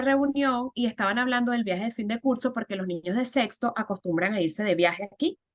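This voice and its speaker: A woman with a Venezuelan accent, her voice fairly high-pitched, with ordinary pitch variation. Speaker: storyteller and educator. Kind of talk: interview.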